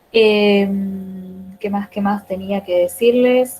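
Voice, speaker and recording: A woman speaks in a medium-pitched voice with ordinary pitch variation. Music plays in the background. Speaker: teacher trainer. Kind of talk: online class.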